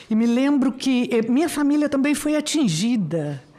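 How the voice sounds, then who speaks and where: With lively intonation and a dark, mellow tone, a woman speaks at a moderate pace. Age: 60s. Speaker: university professor. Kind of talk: formal speech at public hearing. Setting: senate committee hearing room. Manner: halting, with many fillers.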